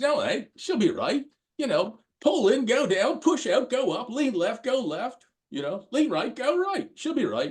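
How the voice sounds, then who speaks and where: A man puts on a character voice in an Australian accent. His pitch is extremely high. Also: moderate pace. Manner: casual, carefree.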